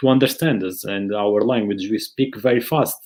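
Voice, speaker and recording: A man with a Porto accent speaks with fairly even intonation. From Portugal, Porto. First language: Portuguese. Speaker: soccer education platform founder, webinar host. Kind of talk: casual chat, live webinar.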